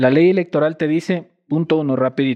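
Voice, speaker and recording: In a Quito accent, a man with a fairly high pitch speaks with lively intonation in a dry, close recording free of echo. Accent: Quito Ecuadorian Spanish. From Ecuador, Quito. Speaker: scientist and environmental activist. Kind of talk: casual interview.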